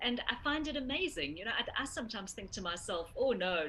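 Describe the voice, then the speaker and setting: This woman's voice sits fairly high, and there is noticeable background noise behind it. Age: 40s. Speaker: interviewer on a charity cycle tour. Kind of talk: interview.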